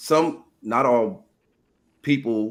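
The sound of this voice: A man speaks, and his intonation holds mostly level.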